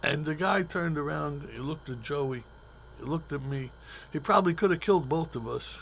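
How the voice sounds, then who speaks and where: A man with a fairly high pitch and a Brooklyn accent, talking at a fairly quick pace. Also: ordinary pitch variation. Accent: New York (Brooklyn). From Brooklyn, New York. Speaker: talk show host. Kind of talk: storytelling monologue. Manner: hesitant, many fillers.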